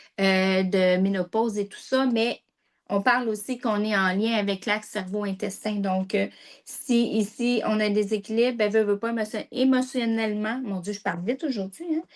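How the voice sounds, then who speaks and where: Fairly high in pitch, a woman talks at a moderate pace with fairly even intonation. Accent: Quebec. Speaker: health presenter. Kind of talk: informational talk.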